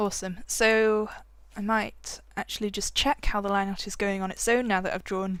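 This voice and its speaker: On a very clean recording with a silent background, a woman mumbles at medium pitch and a moderate pace. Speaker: digital art tutorial creator. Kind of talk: tutorial. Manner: mumbling; casual, hesitant with many fillers.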